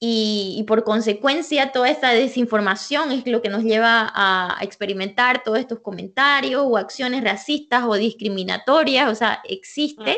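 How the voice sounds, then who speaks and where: Hardly pausing, a woman speaks at a fairly high pitch in a bright, sharp tone with very even loudness. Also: ordinary pitch variation, moderate pace. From Bolivia, Santa Cruz. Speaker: bilingualism expert, psychologist. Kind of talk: interview.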